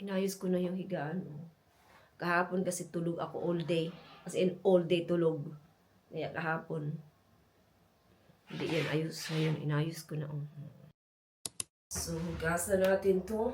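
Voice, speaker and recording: Fairly slow, monotone delivery with flat intonation, long and frequent pauses, and audible room echo. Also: woman, fairly low pitch for a woman. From Philippines. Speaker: vlogger. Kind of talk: casual vlog talk. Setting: at home.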